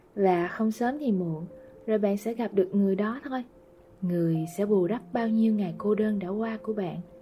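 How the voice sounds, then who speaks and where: Speech moves at a fairly slow pace with ordinary pitch variation over noticeable background noise. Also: woman, medium pitch for a woman. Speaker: podcast host. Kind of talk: scripted narration. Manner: soft-spoken.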